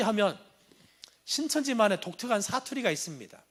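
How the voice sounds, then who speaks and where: A man is talking. He has a slight Jeolla accent. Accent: slight Jeolla intonation. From Jeolla province, South Korea. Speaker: anti-cult lecturer, former cult member. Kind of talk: lecture.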